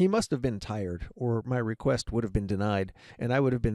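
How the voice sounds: The pitch moves in an ordinary way. It comes from a natural reading voice.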